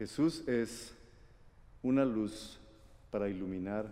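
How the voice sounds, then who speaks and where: The tone is dark and mellow, with ordinary pitch variation. Some room echo can be heard. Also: man. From Guatemala. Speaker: preacher. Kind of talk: sermon.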